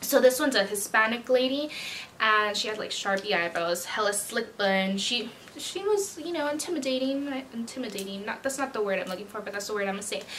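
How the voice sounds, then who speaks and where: With noticeable background noise and audible room echo, a woman talks at a fairly quick pace in a fairly high pitch with ordinary pitch variation. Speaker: vlogger, retail worker. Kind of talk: casual storytime chat. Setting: sit-down video at home. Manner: fast; animated.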